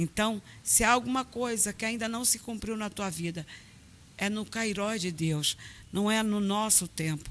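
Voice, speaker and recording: In a normal speaking voice, a woman talks at a medium pitch and a fairly slow pace with ordinary pitch variation. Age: 50s. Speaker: pastor. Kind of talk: testimony. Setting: church.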